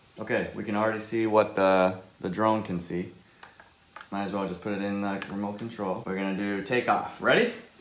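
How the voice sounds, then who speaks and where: A man talks at a fairly quick pace in a fairly low pitch with monotone, flat intonation, with audible room echo and noticeable background noise. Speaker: vlogger. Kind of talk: casual tutorial vlog. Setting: indoors at home. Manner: fast.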